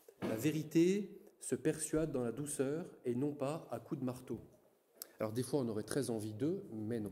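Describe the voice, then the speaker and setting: A man with a dark, mellow tone and medium pitch speaks at a very slow pace, his intonation lively. Audible room echo surrounds his voice. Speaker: Dominican friar giving a lecture. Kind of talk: lecture. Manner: halting, many repetitions and fillers.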